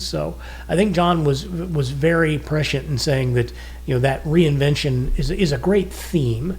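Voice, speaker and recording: Room echo can be heard around the speaker. He is a man talking at a moderate pace. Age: 60s. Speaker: podcast co-host, retired businessman. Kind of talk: casual podcast talk. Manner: conversational, with frequent fillers.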